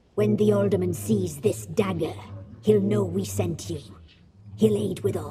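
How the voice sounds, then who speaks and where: A put-on character voice speaks with low pitch at a moderate pace. Long, frequent pauses break up the delivery. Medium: video game. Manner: cold, commanding.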